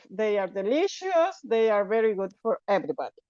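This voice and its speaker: A woman with a Spanish accent and a fairly high pitch speaks with very wide pitch swings in a dry, close sound with no echo. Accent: Spanish accent, non-native English. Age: 60s. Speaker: network marketing distributor. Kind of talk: testimony. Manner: halting.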